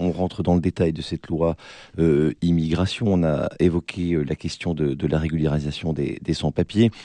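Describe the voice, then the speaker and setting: A man talks in a very deep, low, dark and mellow voice with fairly even intonation. The sound is dry and close with no echo over a quiet background. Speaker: radio debate host. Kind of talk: moderated political debate.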